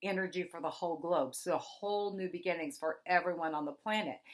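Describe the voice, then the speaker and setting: A normal speaking voice from a woman at fairly low pitch with ordinary pitch variation, on a very clean recording with a silent background. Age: 50s. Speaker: psychic astrologer. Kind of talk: astrology forecast monologue. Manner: casual, conversational.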